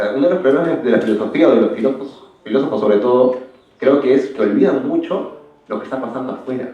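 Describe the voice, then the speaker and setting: Audible room echo surrounds the speaker. He is a man with a medium pitch. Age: 20s. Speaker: philosophy graduate, panel speaker. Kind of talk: Q&A answer at academic panel. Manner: halting, many fillers.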